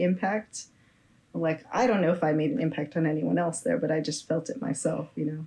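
Somewhat breathy and dark, mellow in tone, a woman with an American accent talks at a moderate pace in a fairly low pitch. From San Francisco Bay Area, California. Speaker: musician. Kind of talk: interview.

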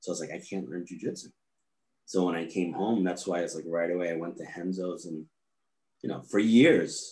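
A man speaks with a New York accent at a very deep, low pitch. His pace is fairly quick and his intonation fairly even. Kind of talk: casual interview chat.

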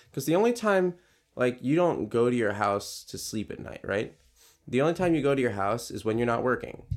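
At a fairly quick pace with very wide pitch swings, the voice comes through a very clean recording with a silent background. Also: man. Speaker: podcast host, preschool teacher. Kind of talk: casual chat.

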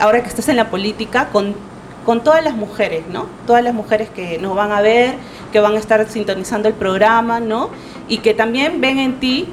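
A woman with a fairly high pitch, ordinary pitch variation and a moderate pace, amid noticeable background noise. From Lima, Peru. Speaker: program host. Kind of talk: interview.

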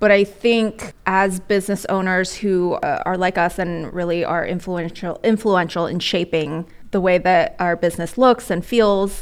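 An ordinary speaking voice, this woman's sits at a medium pitch with fairly even intonation, moving at a moderate pace with hardly any pauses. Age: 30s. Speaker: podcast host and small business owner. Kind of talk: casual interview chat.

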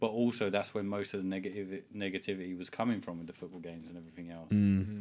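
This man has a very deep, low pitch and a dark, mellow tone, with a British accent. He talks at a very fast pace with hardly any pauses, fairly even intonation and big swings in loudness. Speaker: podcast host. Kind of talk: casual banter podcast. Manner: rambling, talkative, profane.

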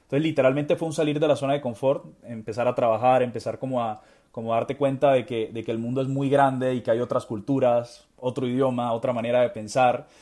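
Talking at a very fast pace with hardly any pauses, a man keeps a medium pitch and a fairly even intonation. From Colombia, Barranquilla. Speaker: motivational speaker and author. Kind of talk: interview. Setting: video call.

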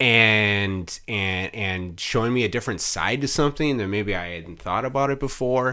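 With an American accent, this is a normal speaking voice at a moderate pace, with ordinary pitch variation and hardly any pauses. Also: man, fairly low pitch for a man. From Wisconsin, Mukwonago near Milwaukee. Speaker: PR and marketing consultant. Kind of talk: casual interview chat.

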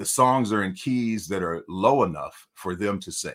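With an American accent, a man speaks at a medium pitch in a bright, sharp tone, his pitch swinging very widely. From Detroit, Michigan. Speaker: singer. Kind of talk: interview.

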